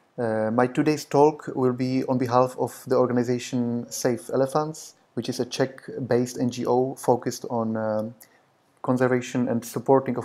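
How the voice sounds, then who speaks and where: A man speaks at a moderate pace with a dark, mellow tone. His intonation is monotone and flat. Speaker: presenter. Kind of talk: prepared conference talk. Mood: calm, polite. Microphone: webcam.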